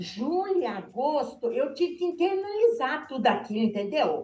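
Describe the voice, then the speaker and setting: Her voice high in pitch, a woman speaks at a fairly slow pace with very wide pitch swings. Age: 60s. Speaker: shoe store owner. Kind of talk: interview on video call.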